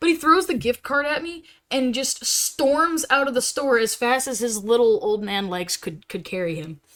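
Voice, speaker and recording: Very wide pitch swings mark this animated voice with an American accent, captured on a very clean recording with a silent background. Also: woman. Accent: southern US, comes out at times. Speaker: live streamer. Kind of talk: casual live stream chat.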